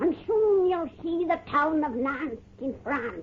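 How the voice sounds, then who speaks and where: A put-on character voice, high and cackling, at a fairly slow pace over light background noise. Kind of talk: 1930s radio horror hostess. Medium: old radio play. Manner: cackling, folksy.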